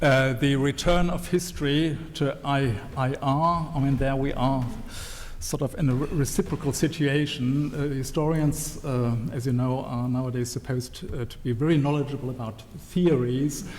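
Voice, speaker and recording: A man's fairly high voice with a German accent at a moderate pace, with audible room echo and noticeable background noise. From Germany. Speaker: historian. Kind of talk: panel talk at a book launch. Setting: event with live audience. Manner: hesitant, many fillers and restarts.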